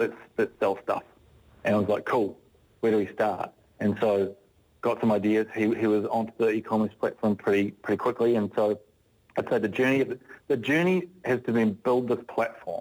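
A man with a New Zealand accent at a moderate pace, with long, frequent pauses, medium pitch, ordinary pitch variation and very even loudness. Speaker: business founder. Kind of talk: radio interview. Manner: halting.

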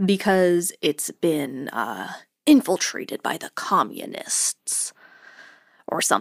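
A woman whispers at a very slow pace in a very clean recording with a silent background and a dry, close sound with no echo. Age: 20s. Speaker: podcast co-host, former homeschooled student. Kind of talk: casual chat.

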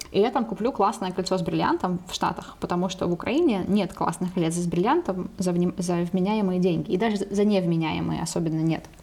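A woman talks at a fairly quick pace with a medium pitch. Her intonation is fairly even, with noticeable background noise behind her. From Ukraine, Dnipro. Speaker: podcast co-host, language editor. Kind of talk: casual chat.

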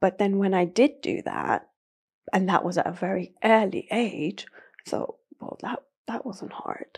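Speaking with a British accent, a woman moves at a fairly slow pace with ordinary pitch variation, big swings in loudness, and long, frequent pauses. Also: medium pitch for a woman. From Iran (north, Caspian coast), moved to UK at about seven. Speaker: bodybuilder and coach. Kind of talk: interview conversation.

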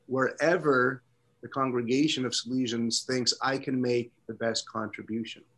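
At a moderate pace and medium pitch, a man speaks in an unremarkable speaking voice against a quiet background. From Canada, Toronto. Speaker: priest. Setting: video call.

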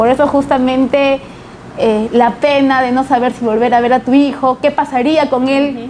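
Noticeable background noise sits under a monotone voice with flat intonation, moving at a moderate pace. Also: woman. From Lima, Peru. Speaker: politician. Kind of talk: interview.

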